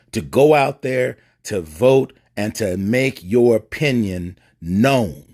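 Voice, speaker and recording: The man speaks at a medium pitch and a very slow pace. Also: lively intonation. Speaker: bishop. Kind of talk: political monologue. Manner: impassioned, preacher-like.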